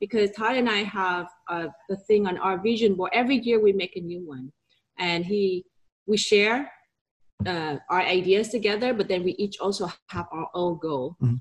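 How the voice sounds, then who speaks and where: This woman talks at a moderate pace, her pitch medium with ordinary variation. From Vietnam. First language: Vietnamese. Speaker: real estate broker and entrepreneur. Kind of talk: interview.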